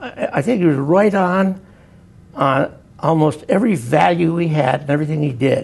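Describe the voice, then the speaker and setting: This man has an American accent and a fairly high pitch, talking at a moderate pace. Noticeable background noise runs under his voice. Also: lively intonation. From western Massachusetts. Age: 70s. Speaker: former state labor commissioner. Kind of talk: oral history interview. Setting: recorded interview at a university institute. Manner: halting, many repetitions.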